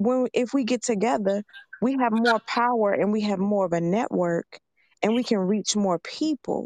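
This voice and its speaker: A woman speaks at a moderate pace with ordinary pitch variation and very even loudness. The sound is dry and close with no echo. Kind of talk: casual chat.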